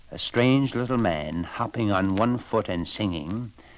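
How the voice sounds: A man's fairly low pitch with big pitch swings, at a fairly slow pace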